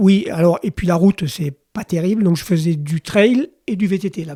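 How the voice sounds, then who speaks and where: Pitched high, a man's voice has a dark, mellow tone and ordinary pitch variation at a moderate pace. The sound is dry and close with no echo. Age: 60s. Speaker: cycling and outdoor industry professional. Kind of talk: podcast interview.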